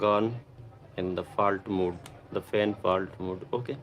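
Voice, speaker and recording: A man speaks with a Pakistani accent in a fairly low voice. His intonation stays fairly even. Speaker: electronics repair technician. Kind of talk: live-stream repair tutorial. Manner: halting.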